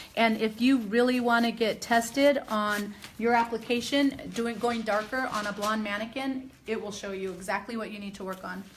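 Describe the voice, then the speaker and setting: A woman talks at a fairly high pitch with fairly even intonation but big swings in loudness. Noticeable background noise runs underneath. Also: moderate pace. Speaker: hair colorist educator. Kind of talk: live demonstration tutorial. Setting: live stream.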